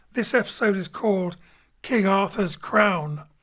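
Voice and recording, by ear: A man speaks at a high pitch with a fairly bright tone. His pace is fairly slow, with ordinary pitch variation.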